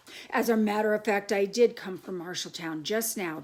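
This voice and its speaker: A raspy put-on character voice with a warm tone, big swings in loudness, ordinary pitch variation and a moderate pace. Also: woman, medium pitch for a woman. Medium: read story. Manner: warm, kindly.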